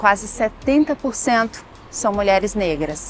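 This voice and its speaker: At a moderate pace, a woman speaks in a normal speaking voice pitched fairly high. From Brazil. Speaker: TV program host. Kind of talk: scripted narration.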